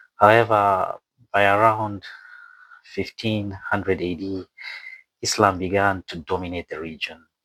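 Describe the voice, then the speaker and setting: On a very clean recording with a silent background and a dry, close sound with no echo, a man with a Somali accent speaks at a fairly low pitch and a fairly slow pace, his intonation monotone and flat, with long, frequent pauses. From Somalia. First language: not English. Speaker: YouTube presenter. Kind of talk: educational talk. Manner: hesitant, many fillers.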